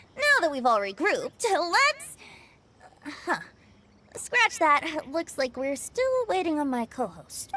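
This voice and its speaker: At an extremely high pitch with very wide pitch swings, the put-on character voice moves at a fairly slow pace with long, frequent pauses. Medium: video game. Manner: cheerful, encouraging.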